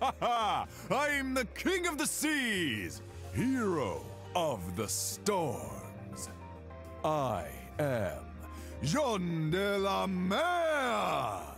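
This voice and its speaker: Speaking very slowly in a put-on character voice, the speaker is backed by loud music. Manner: majestic, heroic.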